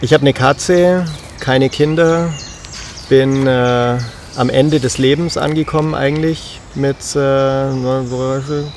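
Over noticeable background noise, a man speaks at a very slow pace. His pitch is fairly high and his intonation fairly even. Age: 30s. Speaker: podcast host. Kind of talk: casual chat. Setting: outdoors by a river.

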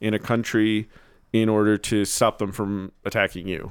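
A man with an American accent talks at a fairly slow pace in a plain, everyday voice, pitched fairly low. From New Jersey. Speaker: podcast host. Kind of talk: casual interview chat.

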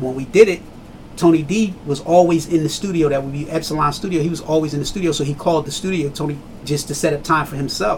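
Ordinary pitch variation at a fairly quick pace, with noticeable background noise. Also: man. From Trenton, New Jersey. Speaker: hip hop artist. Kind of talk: casual interview.

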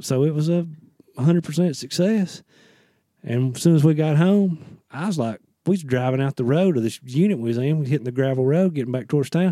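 Speaking at a fairly quick pace with an American accent, a man has a fairly high pitch, ordinary pitch variation and a dark, mellow tone. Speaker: hunter. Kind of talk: casual chat.

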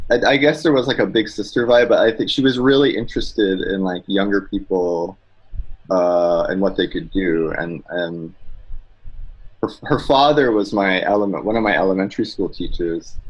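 Speaking in a normal speaking voice with a Canadian accent, a man uses lively intonation at a moderate pace and a fairly low pitch. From Quebec, Mohawk community near Montreal. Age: 30s. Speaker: cartoonist. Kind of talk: casual interview. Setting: video call.

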